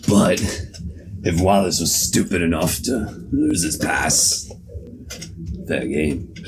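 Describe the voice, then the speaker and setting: Against clear background noise, a man uses a raspy, put-on character voice. It is very deep and low in pitch, at a fairly slow pace. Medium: actual play. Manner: gruff, threatening.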